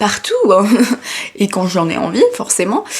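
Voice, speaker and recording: A woman speaks over noticeable background noise. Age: 20s. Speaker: design student, YouTuber. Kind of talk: casual talk to camera. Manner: rambling, chatty, hesitant.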